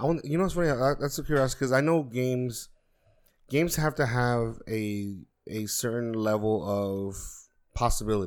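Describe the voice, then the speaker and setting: In an ordinary speaking voice, a man of medium pitch talks at a moderate pace with lively intonation. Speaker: podcast co-host. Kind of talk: casual chat.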